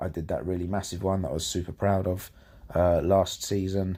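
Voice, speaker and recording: In a British accent, a man with a very deep, low pitch speaks at a moderate pace. The recording is very clean, with a silent background. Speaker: gaming YouTuber. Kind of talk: gameplay commentary. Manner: casual, self-correcting with false starts.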